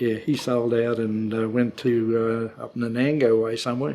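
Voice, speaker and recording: The speech comes at a very slow pace. It is in a rural Australian accent. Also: man. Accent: broad rural Australian. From Queensland, Australia (Mary Valley near Gympie). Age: 80s+. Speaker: elderly local resident sharing memories. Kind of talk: oral history interview. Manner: halting, with many fillers.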